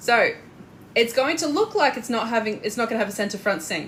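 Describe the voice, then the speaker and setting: A woman's fairly high voice swings very widely in pitch while noticeable background noise sits underneath. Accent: strong Australian. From Australia. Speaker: corset maker and sewing teacher. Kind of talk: live tutorial. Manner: casual, hesitant with fillers; talkative.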